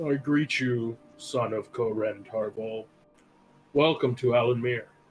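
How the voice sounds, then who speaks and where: Using a put-on character voice, a man talks fairly slowly at a medium pitch. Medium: actual play. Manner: slow, formal, terse.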